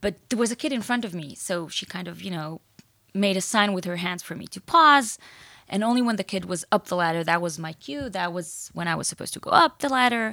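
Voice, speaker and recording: A bright, sharp voice with an Israeli accent races at a very fast pace with lively intonation on a very clean recording with a silent background. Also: woman. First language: Hebrew. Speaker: author and entrepreneur. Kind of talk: interview.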